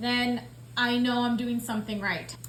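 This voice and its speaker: A high-pitched woman speaks at a moderate pace. Audible room echo and noticeable background noise fill the recording. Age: 30s. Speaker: budgeting vlogger. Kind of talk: casual vlog talk. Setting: at home. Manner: chatty, filler-heavy.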